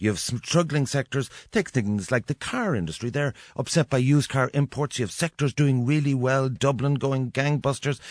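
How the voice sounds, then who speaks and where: A man with an Irish accent, ordinary pitch variation and hardly any pauses, in a dry, close sound with no echo against a quiet background. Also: medium pitch for a man, moderate pace. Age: 50s. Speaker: radio host. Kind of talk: radio interview.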